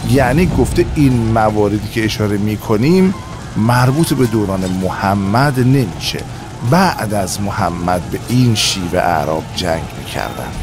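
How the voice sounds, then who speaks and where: Music plays in the background as a man speaks at a fairly low pitch and a fairly slow pace. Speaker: voice actor. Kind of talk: history documentary narration.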